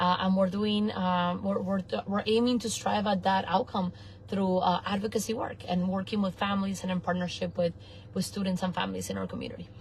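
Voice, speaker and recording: Her intonation stays monotone and flat as the woman talks fairly quickly. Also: medium pitch for a woman. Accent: Argentinian. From Argentina, then Venice, Florida from age eleven. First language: Spanish. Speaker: nonprofit executive director, former teacher. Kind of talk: interview. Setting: in a car.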